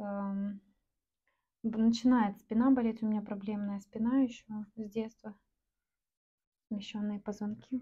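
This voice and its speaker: Relaxed and somewhat breathy, a woman speaks in a fairly high pitch with a dark, mellow tone, monotone, flat intonation, a fairly slow pace, and long, frequent pauses. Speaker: artist selling paintings online. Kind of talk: casual vlog narration while painting. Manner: relaxed, with hesitations and filler words.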